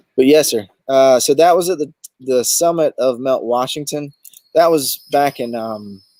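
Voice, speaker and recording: A dark, mellow tone with a Southern US accent. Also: man, fairly high pitch for a man, ordinary pitch variation, moderate pace. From US South, southeast Alabama (Dothan). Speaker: overlanding expedition guide and show host. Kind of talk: casual interview chat. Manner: hesitant, many fillers.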